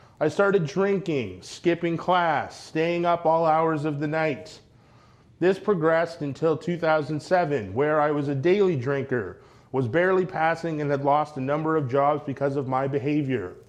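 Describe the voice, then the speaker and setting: An ordinary speaking voice from a man, pitched fairly high, its pitch variation ordinary. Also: moderate pace. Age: 30s. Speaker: mental health advocate. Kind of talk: speech.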